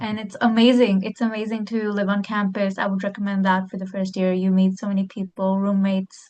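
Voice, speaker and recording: A woman's somewhat breathy voice at a medium pitch and a moderate pace. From India. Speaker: university student. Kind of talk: panel discussion. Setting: webinar. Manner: animated.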